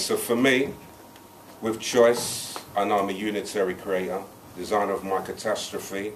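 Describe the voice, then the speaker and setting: At a moderate pace, a man speaks in a fairly low pitch with monotone, flat intonation against light background noise. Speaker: spoken word poet. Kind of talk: live spoken word poetry performance. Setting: live open mic venue. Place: bar. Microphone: camera far.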